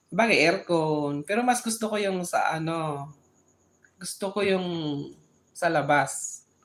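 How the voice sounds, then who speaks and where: Lively intonation marks this delivery at a very slow pace. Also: woman. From Philippines, Bicol (Sorsogon). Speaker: live streamer. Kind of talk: casual chat. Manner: halting, with frequent restarts.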